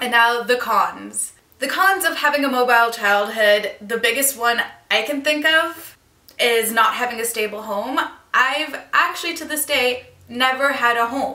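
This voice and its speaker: A woman's high voice at a fairly slow pace, with ordinary pitch variation, audible room echo and noticeable background noise. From Turkey, moved often (Turkey, Belgium, New York). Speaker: vlogger. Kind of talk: vlog monologue.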